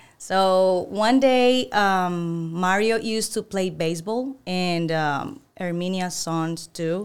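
In a very clean recording with a silent background, a woman with a Venezuelan accent speaks at a very slow pace and medium pitch, with ordinary pitch variation and hardly any pauses. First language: Spanish. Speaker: employee of the month, former insurance agent. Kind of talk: casual interview.

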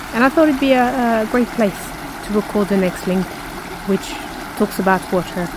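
A woman's fairly high voice at a moderate pace, with long, frequent pauses and noticeable background noise. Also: ordinary pitch variation. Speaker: podcast host. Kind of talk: scripted audio zine presenting.

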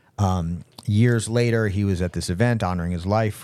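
This man has an unremarkable speaking voice, fairly low in pitch, delivered at a moderate pace with fairly even intonation. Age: 40s. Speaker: podcast co-host. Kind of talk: casual chat.

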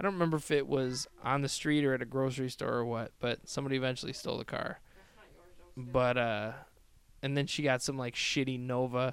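A man with an American accent has an unremarkable speaking voice at a medium pitch. He talks at a fairly quick pace with fairly even intonation. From US Midwest, Chicago. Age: 30s. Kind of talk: casual chat. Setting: in person at host's house.

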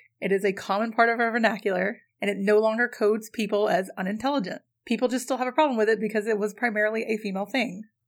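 A woman speaks very fast with hardly any pauses, her pitch fairly high and her intonation fairly even. The recording is very clean, with a silent background. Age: 30s. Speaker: podcast co-host. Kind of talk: casual chat.

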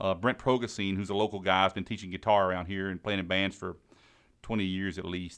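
Talking at a fairly quick pace, a man with an American accent uses a very deep, low pitch and a monotone, flat intonation. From US South, Mississippi Gulf Coast. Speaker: musician. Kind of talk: casual interview.

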